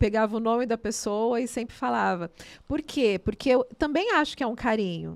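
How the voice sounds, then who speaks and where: Animated and fairly high in pitch, a woman speaks with ordinary pitch variation in a very clean recording with a silent background. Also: moderate pace. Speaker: theatre and dance artist. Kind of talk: casual interview chat.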